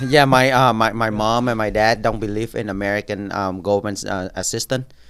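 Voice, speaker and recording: A man with a Vietnamese accent speaks at a fairly quick pace in a fairly low voice. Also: fairly even intonation. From Vietnam, moved to Orlando area at 11-12. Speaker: congressional candidate. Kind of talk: podcast interview. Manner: halting, many fillers and repeats.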